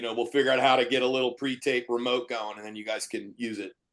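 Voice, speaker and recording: A man with an American accent talks at a very fast pace. His intonation stays fairly even. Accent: Philadelphia accent, can turn on and off. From Philadelphia. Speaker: writer, director and comedian. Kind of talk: casual podcast chat.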